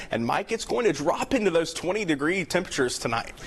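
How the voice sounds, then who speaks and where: With an American accent and a high pitch, a man speaks over noticeable background noise. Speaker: television news reporter and anchor. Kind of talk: TV news reporting and anchoring. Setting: studio anchor desk.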